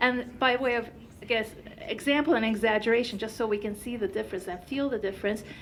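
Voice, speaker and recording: Audible room echo surrounds a voice moving at a fairly quick pace with ordinary pitch variation. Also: woman. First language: Turkish. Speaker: company founder and researcher. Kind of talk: conference presentation.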